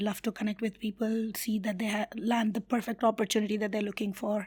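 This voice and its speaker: This woman speaks fairly quickly in a somewhat breathy voice. Her intonation stays monotone and flat. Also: very clean recording, silent background. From India. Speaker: community builder and HR professional. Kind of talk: interview.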